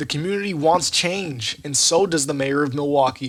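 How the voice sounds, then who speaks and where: A man uses an ordinary speaking voice, moving at a moderate pace with ordinary pitch variation. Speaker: student TV reporter. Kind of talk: TV news field report.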